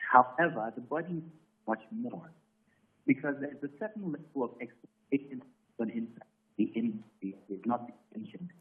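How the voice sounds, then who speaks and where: At a moderate pace, a man with a fairly high voice swings very widely in pitch and greatly in loudness, leaving long, frequent pauses. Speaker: voiceover artist. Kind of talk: phone-in comment on live TV talk show. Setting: phone call. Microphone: breaking, muffled phone line.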